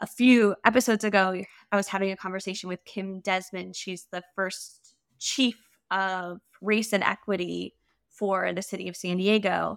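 The recording is very clean, with a silent background. A woman speaks at a medium pitch. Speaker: podcast host. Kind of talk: interview conversation. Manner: soft-spoken.

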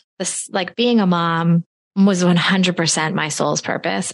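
A woman speaks at a very slow pace with fairly even intonation. Her pitch sits fairly low. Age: 40s. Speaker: podcast host and solo mother, investment firm owner. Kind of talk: casual interview.

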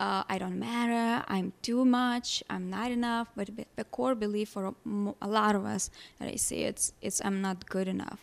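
With a Lithuanian accent, a woman speaks at a moderate pace and with fairly even intonation on a very clean recording with a silent background. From Lithuania, small village. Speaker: holistic life coach. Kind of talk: interview.

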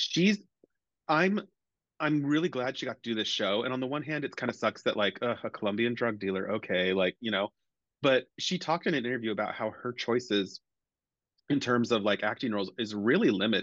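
At a fairly quick pace, a man with a normal speaking voice and medium pitch talks with lively intonation, the sound dry and close with no echo against a quiet background. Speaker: podcast co-host. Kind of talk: casual chat.

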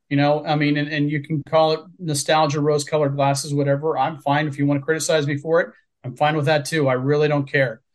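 With a Midwestern American accent, a man speaks at a very fast pace with hardly any pauses. His fairly high pitch stays monotone and flat. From Southwest Ohio, near Cincinnati. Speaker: author. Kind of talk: interview.

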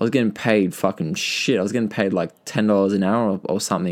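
In an Australian accent, a man talks at a fairly quick pace with a fairly low pitch and fairly even intonation. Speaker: podcaster sharing personal story. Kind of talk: casual monologue, personal story. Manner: casual, filler-heavy, halting.

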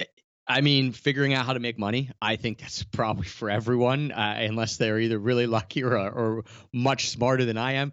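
An unremarkable speaking voice from a man, medium in pitch, fairly even in intonation, at a fairly quick pace. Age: 30s. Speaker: travel blogger and podcaster. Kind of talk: interview.

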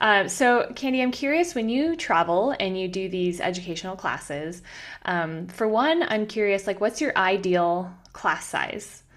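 A woman speaks at a fairly slow pace in a medium pitch. Her tone is animated and her intonation lively. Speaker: podcast host. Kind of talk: interview conversation with ad reads. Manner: animated, friendly.

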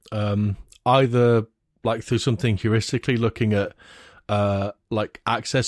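On a very clean recording with a silent background and a dry, close sound with no echo, a man with an unremarkable speaking voice and a fairly low pitch speaks at a moderate pace with fairly even intonation. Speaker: security expert. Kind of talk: casual chat.

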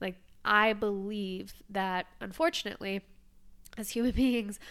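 In a very clean recording with a silent background, a woman with an unremarkable speaking voice talks at a fairly slow pace, her medium pitch and intonation fairly even. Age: 30s. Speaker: podcaster and coach. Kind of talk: casual chat.

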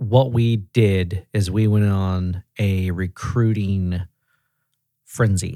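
The speaker is a man with an American accent and a fairly low pitch. The recording is very clean, with a silent background. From Tennessee. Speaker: auto repair regional director. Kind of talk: casual chat. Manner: animated.

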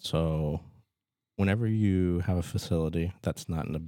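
With a Midwestern American accent, a man speaks in a very deep, low pitch and lively intonation. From Nebraska, Fremont. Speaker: physician and clinic owner. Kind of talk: casual interview.

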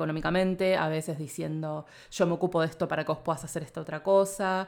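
A woman speaks at a moderate pace with a Rioplatense accent, her pitch very deep and low. Her intonation stays fairly even, and the recording is very clean with a silent background. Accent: Argentine Rioplatense Spanish. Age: 30s. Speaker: podcast producer and journalist. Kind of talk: casual interview.

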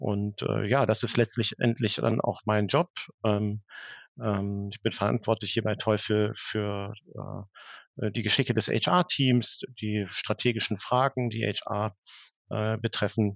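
With fairly even intonation, the words come out at a very slow pace. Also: man, fairly low pitch for a man. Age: 40s. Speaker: HR director. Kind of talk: interview. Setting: video call. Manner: halting, many fillers.

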